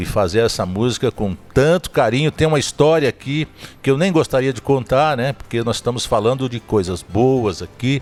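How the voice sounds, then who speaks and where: Over music in the background, a man speaks at a moderate pace and medium pitch with lively intonation. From Zona da Mata, Minas Gerais, Brazil. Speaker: podcast host. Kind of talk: casual interview chat, storytelling.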